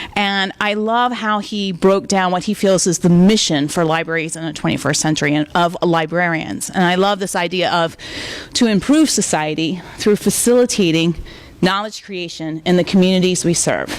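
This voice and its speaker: With an American accent, a woman speaks at medium pitch with ordinary pitch variation over noticeable background noise. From US South. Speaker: library director, guest speaker. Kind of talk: lecture. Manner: fast; loud.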